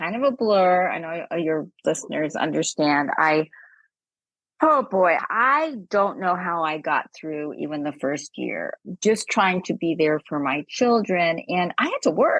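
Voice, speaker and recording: With an American accent, a woman in an unremarkable speaking voice talks at a fairly slow pace and fairly low pitch with lively intonation, the sound dry and close with no echo over a quiet background. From US West Coast, Los Angeles. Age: 60s. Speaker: suicide loss widow, guest. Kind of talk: interview conversation.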